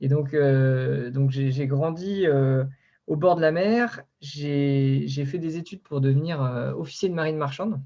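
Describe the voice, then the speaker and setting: Fairly slow and somewhat breathy, a man's voice comes through. His pitch is fairly high, with a dark, mellow tone. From Brittany, France (Concarneau). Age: 20s. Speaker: ocean project founder, engineer and former merchant navy officer. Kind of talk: online interview talk. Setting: online video conference. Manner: halting, many fillers.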